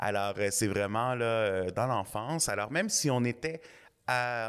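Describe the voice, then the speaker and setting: A man's ordinary speaking voice, medium in pitch, with ordinary pitch variation, on a very clean recording with a silent background. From Quebec (Montreal South Shore, Saint-Hubert). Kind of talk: interview.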